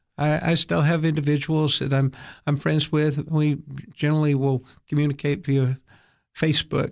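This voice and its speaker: A man with an East Tennessee accent, fairly high-pitched for a man and monotone in intonation, at a moderate pace with long, frequent pauses, very even loudness and a quiet background. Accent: East Tennessee Southern American. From East Tennessee, US South. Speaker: attorney and church leader. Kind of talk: radio interview. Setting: studio.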